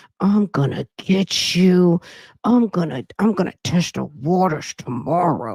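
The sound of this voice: In a put-on character voice with a menacing tone, the speaker uses a middle pitch at a fairly slow pace.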